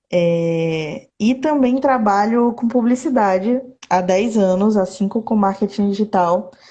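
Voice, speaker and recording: A woman speaks at a very slow pace and a medium pitch. Her loudness stays very even, with ordinary pitch variation. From southern Bahia, Brazil (Itabuna). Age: 30s. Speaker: poet. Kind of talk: casual interview chat; poetry reading. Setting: Instagram live video call.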